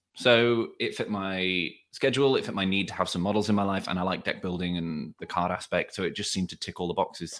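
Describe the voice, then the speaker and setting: The speaker talks at a very fast pace with hardly any pauses. The accent is British. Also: man, fairly low pitch for a man, ordinary pitch variation. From England. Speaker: tabletop game player, medical professional. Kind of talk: casual chat. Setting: remote call from home.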